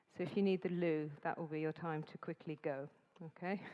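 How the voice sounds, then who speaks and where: A woman with an English accent speaks in fairly even intonation, the sound dry and close with no echo. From England. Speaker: event host, master of ceremonies. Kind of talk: event announcements. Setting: stage with live audience in conference hall. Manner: deliberately slower, clear enunciation.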